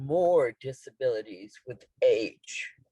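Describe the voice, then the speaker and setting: A woman speaks at a very slow pace with a very deep, low pitch and a dark, mellow tone. Her voice is somewhat breathy, and her pitch varies in an ordinary way. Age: 60s. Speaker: former student speaker. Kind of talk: testimony.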